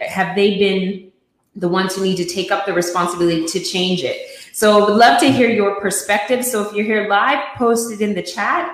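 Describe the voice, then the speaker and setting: Speaking at a fairly quick pace, a woman uses a plain, everyday voice with ordinary pitch variation. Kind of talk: casual talk show hosting.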